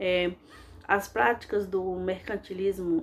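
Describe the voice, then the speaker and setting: The speaker is a woman. Her delivery is fairly slow. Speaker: history teacher. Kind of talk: lecture. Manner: frequent fillers and self-corrections.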